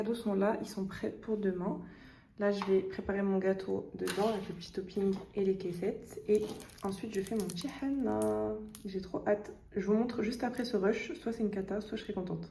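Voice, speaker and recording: Moderate-paced speech with a dark, mellow tone, vocal fry, fairly even intonation and audible room echo. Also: woman, medium pitch for a woman. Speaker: vlogger. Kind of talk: vlog.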